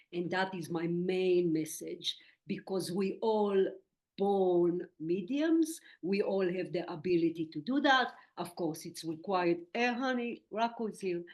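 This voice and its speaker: Speaking with an Israeli accent, a woman uses a medium pitch. Her pace is fairly slow and her pitch variation ordinary. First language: Hebrew. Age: 60s. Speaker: medium and spiritual teacher. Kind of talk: interview.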